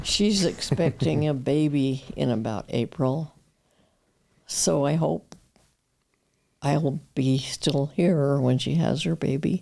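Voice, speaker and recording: In a Western US accent, a woman talks at a very slow pace with long, frequent pauses, her pitch very deep and low. Her tone is dark and mellow, with ordinary pitch variation and very even loudness. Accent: American, Western US. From Utah. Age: 80s+. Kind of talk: interview answer.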